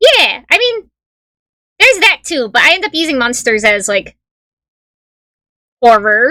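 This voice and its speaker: A woman speaks in a high, raised, projected voice with very wide pitch swings, at a fairly slow pace with long, frequent pauses. The sound is dry and close, with no echo. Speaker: streamer. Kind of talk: casual chat.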